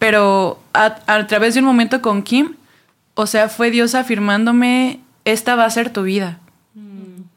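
A woman with a plain, everyday voice, fairly high in pitch, talks at a fairly slow pace with fairly even intonation. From Mexico City. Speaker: church ministry worker. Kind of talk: casual chat.

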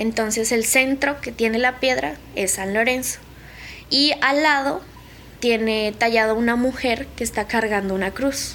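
A woman speaks at a fairly slow pace in a fairly high pitch, with noticeable background noise. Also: ordinary pitch variation. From Colombia, Nariño. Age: 20s. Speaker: conflict survivor, student. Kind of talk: testimony.

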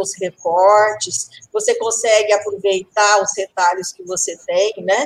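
A woman speaks in an ordinary speaking voice, her fairly high pitch showing ordinary variation. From rural Brazil. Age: 50s. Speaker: pattern-making teacher. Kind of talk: live podcast interview.

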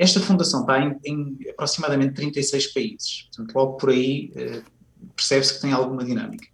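A somewhat breathy man talks at a fairly quick pace. His pitch sits fairly high, with ordinary variation. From Portugal, Viseu. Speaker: university professor and education manager. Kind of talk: radio interview.

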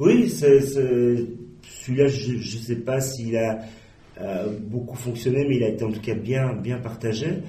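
A man's medium-pitched voice at a very slow pace, fairly even in intonation, with audible room echo and noticeable background noise. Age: 40s. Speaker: online magazine editor-in-chief. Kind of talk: interview. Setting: office. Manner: hesitant, many fillers.

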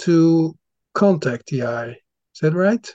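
In a Dutch accent, a man with a fairly high pitch speaks at a very slow pace, the sound dry and close with no echo. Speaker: podcast host. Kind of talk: interview. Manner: halting.

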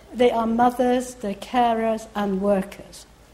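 Audible room echo surrounds the voice. The delivery is fairly slow, with lively intonation. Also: woman. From Iran. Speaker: professor. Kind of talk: lecture.

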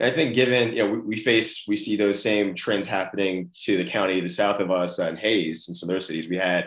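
A man with a fairly low pitch and an American accent, very fast pace, quiet background. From Austin, Texas. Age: 30s. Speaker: podcast host and CEO. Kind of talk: casual interview.

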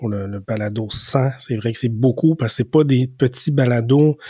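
In a dry, close sound with no echo, a man speaks fairly slowly at a medium pitch, his tone dark and mellow and his intonation fairly even. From Quebec, Rivière-du-Loup and Montreal. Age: 40s. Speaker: podcast co-host. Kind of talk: casual chat. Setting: remote recording over Zoom.

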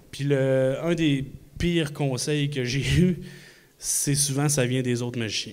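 A man speaks at a very slow pace with fairly high pitch and fairly even intonation. Audible room echo and noticeable background noise fill the recording. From Quebec City. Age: 40s. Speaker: magician. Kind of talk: live podcast talk before audience. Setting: stage with audience in a microbrewery.

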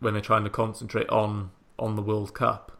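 In a very clean recording with a silent background, a speaker with a Welsh accent talks at a moderate pace in a monotone, flat intonation. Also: man. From Wales. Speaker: football podcast host. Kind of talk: casual chat.

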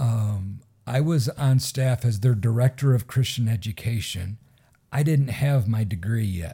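At a fairly slow pace, a man's somewhat breathy voice sits at medium pitch with a dark, mellow tone. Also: ordinary pitch variation. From Michigan. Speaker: pastor. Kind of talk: casual interview.

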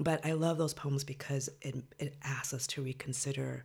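On a very clean recording with a silent background, a woman with an American accent speaks at a moderate pace in a very deep, low pitch with vocal fry. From Los Angeles (Compton), California. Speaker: poet. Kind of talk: interview.

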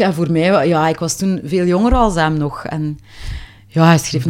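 Someone with a Flemish accent talks at a moderate pace with ordinary pitch variation. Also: woman. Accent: Flemish Dutch. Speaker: singer. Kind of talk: interview.

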